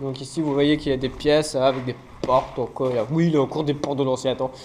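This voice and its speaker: Very fast delivery over noticeable background noise. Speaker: urbex explorer and video creator. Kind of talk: walking exploration vlog. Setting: indoors, abandoned fort.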